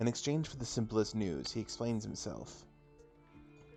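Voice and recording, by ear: A natural voice reads the text aloud, its pitch varying in an ordinary way.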